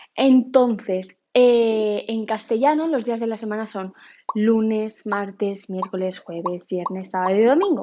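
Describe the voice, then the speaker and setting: In a Valencian accent, a woman speaks at a fairly slow pace with a fairly high pitch. Her tone is animated, with ordinary pitch variation. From Spain, Valencia. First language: Valencian (speaking Spanish). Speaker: YouTuber. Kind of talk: casual vlog monologue. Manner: animated, chatty.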